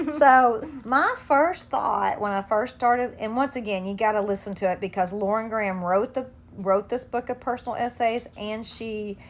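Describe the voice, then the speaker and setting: Here is a woman with an unremarkable speaking voice and fairly high pitch. Her pace is moderate and her pitch variation ordinary. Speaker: podcast host. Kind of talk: casual chat.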